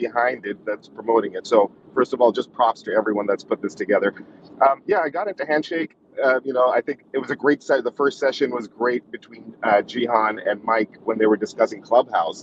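At a fairly quick pace, a man talks with ordinary pitch variation, the sound dry with no echo and light background noise present. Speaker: guest. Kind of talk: panel discussion talk. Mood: appreciative, relaxed. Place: car. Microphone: video call.

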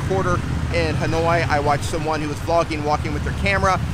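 Over loud background noise, a man talks very fast in a dry sound with no echo. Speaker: gear reviewer vlogger. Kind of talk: casual vlog chat. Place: street. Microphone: phone near.

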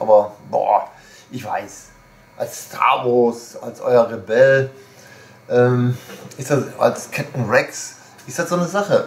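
A man talks at a very slow pace with long, frequent pauses. His pitch variation is ordinary, but there are big swings in loudness. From Germany. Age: 60s. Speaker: video blogger, shop owner; shop owner vlogger. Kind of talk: casual monologue. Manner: rambling, hesitant with fillers. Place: home room.

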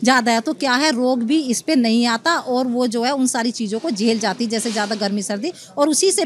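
Over light background noise, a woman with a high pitch talks at a fairly slow pace, her pitch varying in an ordinary way. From Uttar Pradesh, India (Amroha district, village); Uttar Pradesh. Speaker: farmer. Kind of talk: interview; interview answer. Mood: pleased, animated. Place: hall. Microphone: handheld.

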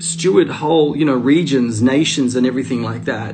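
There is faint background music behind the man's voice. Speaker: preacher sharing a spiritual message. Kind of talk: sermon-like live stream talk. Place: home room. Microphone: phone near.

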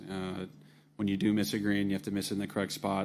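Music plays in the background as a man talks in a fairly low pitch. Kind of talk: interview answer. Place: meeting room. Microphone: podium.

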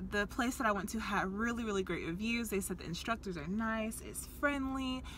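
Light background noise sits beneath a woman speaking at a moderate pace. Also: dry sound with no echo. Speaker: vlogger. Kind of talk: casual vlog chat. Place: car. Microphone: phone near.

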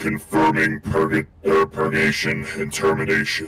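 A man's pitch sits very deep and low as he performs a put-on character voice. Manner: dry, contemptuous.

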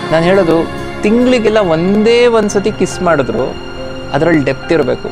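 A man with lively intonation over clear background music. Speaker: radio jockey. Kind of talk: interview answer. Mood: turns emotional at the end. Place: garden.

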